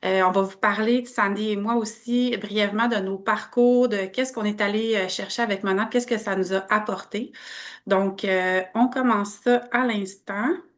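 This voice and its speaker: A woman with a Canadian French accent speaks at a moderate pace and a fairly high pitch. Her intonation stays fairly even. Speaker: network marketing presenter. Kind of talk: online business opportunity presentation.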